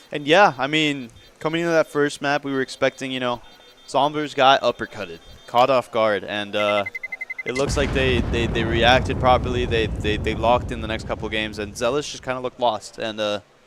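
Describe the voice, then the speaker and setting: Over noticeable background noise, a man talks at a fairly quick pace. His medium pitch shows ordinary variation. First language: not English. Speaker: esports analyst. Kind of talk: live commentary.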